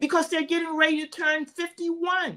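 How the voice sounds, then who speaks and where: Raised and projected, the voice has a bright, sharp tone. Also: woman. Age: 70s. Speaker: fitness coach for older women. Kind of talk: motivational interview talk. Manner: animated.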